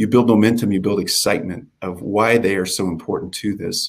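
With an American accent, a man speaks in a plain, everyday voice at a fairly quick pace, fairly low in pitch and with fairly even intonation. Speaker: innovation center director. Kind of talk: panel discussion.

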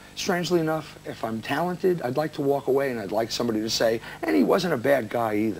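In a New Jersey accent, a man speaks very fast, with very wide pitch swings. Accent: American, New Jersey. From New Jersey, USA. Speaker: singer and songwriter. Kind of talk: interview answer.

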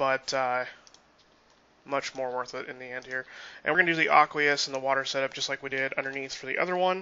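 A man at medium pitch talks at a very fast pace, with big swings in loudness and long, frequent pauses. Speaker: gaming YouTuber. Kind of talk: tutorial. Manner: talkative; animated.

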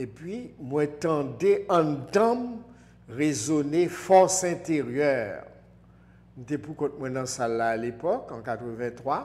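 A man with a Haitian accent speaks at a very slow pace, his loudness swinging widely. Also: lively intonation. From Haiti, Port-au-Prince. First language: Haitian Creole (speaking French). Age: 60s. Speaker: spiritual teacher. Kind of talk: interview. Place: studio. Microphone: lapel.

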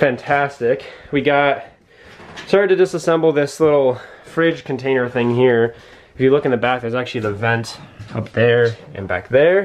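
The pace here is moderate. A man talks, his pitch varying in an ordinary way. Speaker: vlogger renovating camper. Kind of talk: casual vlog chat.

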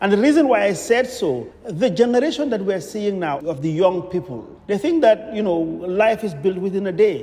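Lively intonation at a moderate pace from a man pitched high. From Gambia. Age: 60s. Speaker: real estate developer. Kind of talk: radio interview. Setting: studio. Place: studio.

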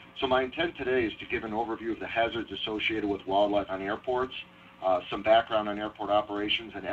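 A man with an American accent speaks at a fairly quick pace and a fairly low pitch, his intonation fairly even, over noticeable background noise. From Ohio. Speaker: wildlife biologist. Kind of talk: lecture presentation. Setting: online webinar.

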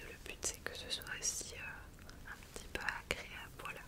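Whispering at a very slow pace, a woman uses a soothing tone. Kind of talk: soft-spoken role-play. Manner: soft, soothing ASMR-style speaking. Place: home room.

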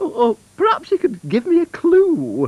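A man's put-on character voice, extremely high-pitched, with very wide pitch swings at a moderate pace

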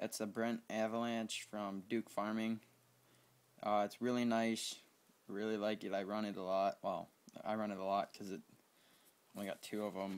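A man with a fairly low pitch speaks in a monotone, flat intonation with long, frequent pauses. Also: moderate pace. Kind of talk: casual game tour commentary. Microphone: phone near.

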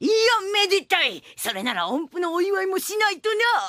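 Someone performs a put-on character voice at an extremely high pitch and a moderate pace. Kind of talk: old-fashioned speech. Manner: gruff, bossy.

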